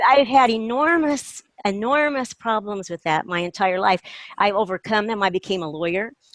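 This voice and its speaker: With a plain, everyday voice, a woman speaks at a moderate pace and a fairly high pitch, her intonation lively, in a dry, close sound with no echo. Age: 60s. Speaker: retired lawyer, call participant. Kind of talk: casual chat.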